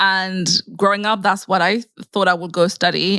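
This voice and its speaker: A woman with a French accent speaks at a moderate pace and medium pitch in a bright, sharp tone with monotone, flat intonation, on a very clean recording with a silent background. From Mauritius. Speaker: scientist turned content creator. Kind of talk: interview conversation.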